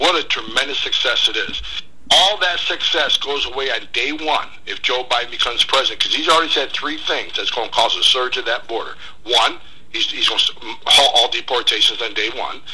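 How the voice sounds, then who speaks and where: The speech moves at a fairly quick pace. There is noticeable background noise. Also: man. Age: 50s. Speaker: former immigration enforcement director. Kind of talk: radio interview. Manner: forceful, straightforward.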